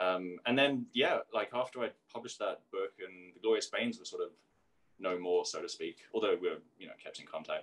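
A man with an American accent at a fairly quick pace, with big swings in loudness. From South London, England; London. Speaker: singer-songwriter and author; interviewee. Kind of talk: interview. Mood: reflective, candid. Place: kitchen. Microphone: video call.

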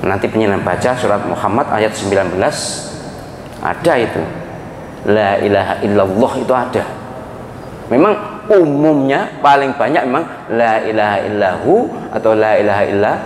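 A man talks at a moderate pace with long, frequent pauses. Audible room echo and light background noise surround him. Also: ordinary pitch variation. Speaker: religious preacher. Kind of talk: sermon. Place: hall. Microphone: handheld.

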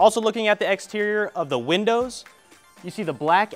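Faint music in the background behind a man's fairly quick delivery. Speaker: real estate agent host. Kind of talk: home tour presentation. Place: garden.

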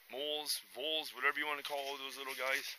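A man's fairly high voice with a Canadian Prairie accent, dry with no echo, over light background noise. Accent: Canadian English (Prairies). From Canada. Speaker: hiking vlogger; backpacker vlogger. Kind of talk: outdoor vlog narration; casual vlog chat. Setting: outdoors. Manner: casual, hesitant with many fillers. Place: forest. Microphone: phone near.

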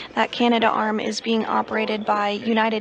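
A fairly high-pitched woman's voice at a fairly quick pace, with noticeable background noise. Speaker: NASA TV commentator. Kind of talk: live broadcast commentary. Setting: mission control. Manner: clear, measured, formal.

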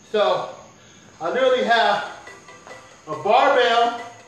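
A man speaks in a high pitch with ordinary pitch variation. Audible room echo surrounds the voice. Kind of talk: casual vlog chat. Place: garage. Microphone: camera far.

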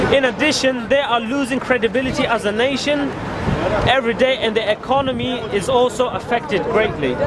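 A man talks at a moderate pace with loud background noise behind him. The sound itself is dry with no echo. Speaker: protest speaker. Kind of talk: protest speech. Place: street. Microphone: camera far.

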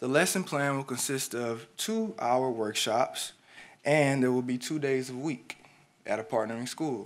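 Speaking fairly slowly with an American accent, a man with an unremarkable speaking voice keeps a medium pitch and ordinary pitch variation. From Houston, Texas. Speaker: graphic designer and educator, design student presenting. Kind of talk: presentation / pitch talk.

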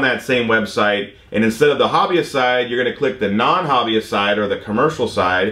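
Speaking at a fairly quick pace with ordinary pitch variation, a man's voice carries audible room echo. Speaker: drone instructor. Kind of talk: explanatory vlog discussion. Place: studio.

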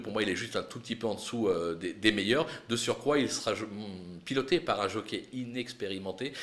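Lively intonation from a man at a moderate pace. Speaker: horse racing tipster. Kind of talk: race preview with tips and betting advice, not a live call. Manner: brisk, confident, measured tipster delivery, punchy verdicts; occasional hesitations, fillers like 'euh'.

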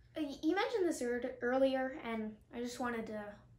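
At a fairly slow pace, a woman speaks in a high pitch with ordinary pitch variation, and audible room echo surrounds her voice. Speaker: actor in skit. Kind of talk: scripted dialogue. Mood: friendly, light. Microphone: headset.

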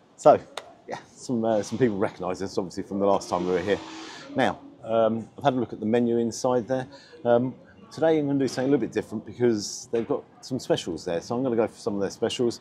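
A man talking at a very fast pace with ordinary pitch variation, music in the background. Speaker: food reviewer. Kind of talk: casual vlog chat. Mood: upbeat, chatty. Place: street. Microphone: lapel.

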